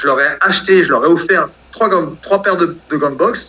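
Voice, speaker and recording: Noticeable background noise sits behind a man whose voice is high-pitched. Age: 40s. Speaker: professional boxer. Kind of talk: interview.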